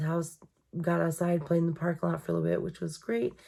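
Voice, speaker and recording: A woman's dark, mellow, somewhat breathy voice with ordinary pitch variation. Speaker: journaling vlogger. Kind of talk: casual chat. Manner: fast.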